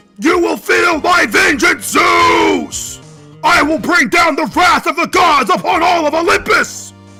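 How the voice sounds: Shouting at an extremely high pitch in a put-on character voice, a man speaks at a fairly slow pace with clear music in the background.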